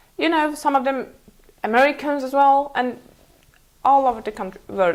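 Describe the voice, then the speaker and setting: A woman speaks with a Mongolian accent. Her pitch is high. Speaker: interview guest, former student. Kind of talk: interview. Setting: TV studio. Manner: halting, many fillers.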